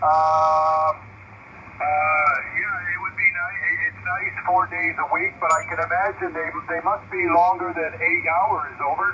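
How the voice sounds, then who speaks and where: Noticeable background noise surrounds a man speaking at a fairly slow pace. His pitch is high and his intonation fairly even. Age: 60s. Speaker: retired house painter, radio operator. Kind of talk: radio contact chat. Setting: radio call.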